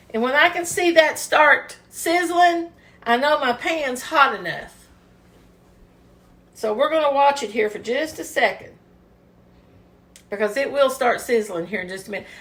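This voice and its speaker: A woman with a Kentucky accent speaks at a moderate pace in a high voice, her pitch swinging very widely and her loudness rising and falling a lot. She leaves long, frequent pauses. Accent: Southern US (Kentucky). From US South, Kentucky. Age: 60s. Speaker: home cooking video host. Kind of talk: cooking tutorial. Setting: home kitchen. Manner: casual, chatty.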